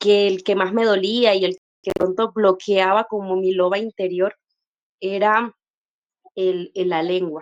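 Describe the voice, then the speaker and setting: In a La Guajira accent, a woman speaks in a monotone, flat intonation with long, frequent pauses. Her sound is dry and close, without echo. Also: medium pitch for a woman. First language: Wayuunaiki (speaking Spanish). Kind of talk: personal testimony in panel discussion. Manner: hesitant, many fillers.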